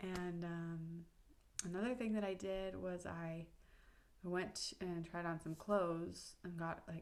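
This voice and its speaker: Her fairly low voice stays monotone, with flat intonation throughout as the woman speaks. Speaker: video blogger on menstrual cycle tracking. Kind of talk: casual vlog monologue.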